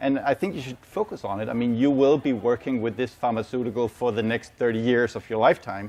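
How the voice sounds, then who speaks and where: A man with a Danish accent talks at a very fast pace with hardly any pauses. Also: medium pitch for a man, ordinary pitch variation. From Denmark. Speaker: medical sales manager and ICU nurse. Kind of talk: conference presentation. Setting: symposium with live audience.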